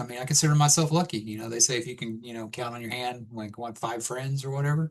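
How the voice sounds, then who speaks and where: With an American accent, this is an unremarkable speaking voice at a fairly quick pace. Pitch variation is ordinary, and the background is quiet. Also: man. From Texas. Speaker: podcast guest. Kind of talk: casual chat.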